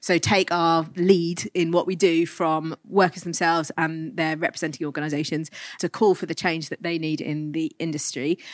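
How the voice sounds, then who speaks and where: A woman speaks in a normal speaking voice, fairly low in pitch with fairly even intonation, at a moderate pace with hardly any pauses. The sound is dry and close with no echo, on a very clean recording with a silent background. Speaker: workers' rights campaigner. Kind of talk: panel discussion. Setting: live panel with audience.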